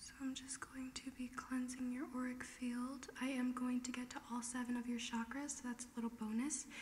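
Over light background noise, a soft-spoken voice with a calm, soothing tone talks at a moderate pace in a monotone, flat intonation. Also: woman. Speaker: ASMR and reiki content creator; ASMR creator. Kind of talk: ASMR personal attention, soft spoken. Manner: soft-spoken, calm, soothing. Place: home room. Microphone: studio mic.

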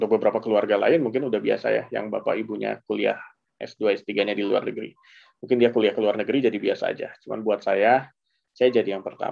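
A man talks very fast over a quiet background. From Indonesia. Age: 30s. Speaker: journalist and graduate student; journalist. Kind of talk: casual interview and presentation. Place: home room. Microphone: headset.

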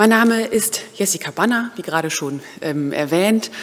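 The woman talks fairly slowly. Her pitch rises and falls very widely. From Germany, Osnabrück; Germany. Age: 30s. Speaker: vicar in training. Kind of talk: prayer; self-introduction. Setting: church. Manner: hesitant, with filler sounds. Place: church. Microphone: podium.

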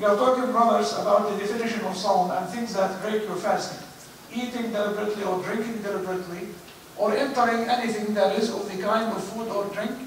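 A man at a very fast pace and high pitch, monotone and flat in intonation, with light background noise and strong room echo. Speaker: imam giving a lecture. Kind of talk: religious lecture. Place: church.

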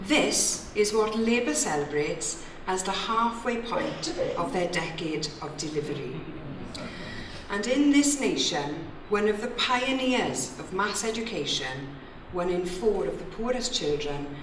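A woman speaks at a fairly slow pace. Noticeable background noise runs underneath. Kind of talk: political conference speech. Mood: critical, persuasive. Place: hall. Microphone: podium.

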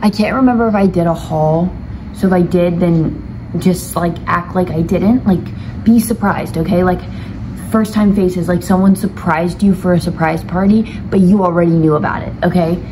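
A woman speaks at a moderate pace with a fairly low pitch. Noticeable background noise runs behind her. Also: ordinary pitch variation. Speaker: vlogger. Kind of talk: casual vlog chat. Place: home room. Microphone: phone near.

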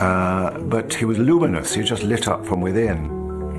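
Noticeable noise sits behind a man as he talks. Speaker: actor recalling a friend. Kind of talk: interview answer. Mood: reflective, tender. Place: home room. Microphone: lapel.

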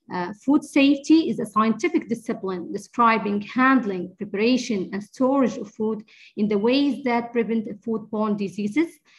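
At a moderate pace, a woman speaks in a somewhat breathy voice with ordinary pitch variation and hardly any pauses. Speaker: infection control nurse. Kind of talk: lecture. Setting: video call.

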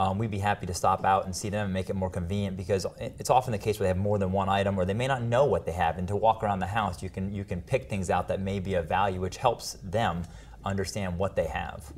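Somewhat breathy, a man with a fairly low pitch speaks at a very fast pace with hardly any pauses and fairly even intonation. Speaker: auctioneer and appraiser. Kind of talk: TV news segment interview answer.

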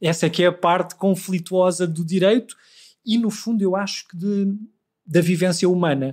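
A man with a European Portuguese accent, high-pitched, at a moderate pace with fairly even intonation, on a very clean recording with a silent background. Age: 40s. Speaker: law professor. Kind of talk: interview.

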